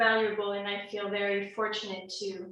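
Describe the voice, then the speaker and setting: In a French accent, a woman talks very slowly with monotone, flat intonation and a bright, sharp tone amid audible room echo. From France. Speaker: toastmasters club member. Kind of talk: impromptu speech.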